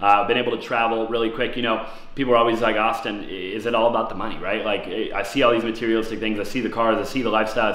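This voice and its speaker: Amid noticeable background noise and audible room echo, a man speaks very fast in a medium-pitched voice. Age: 20s. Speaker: real estate investor and YouTuber. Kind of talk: vlog-style monologue. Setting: in his apartment. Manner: fast, filler-heavy.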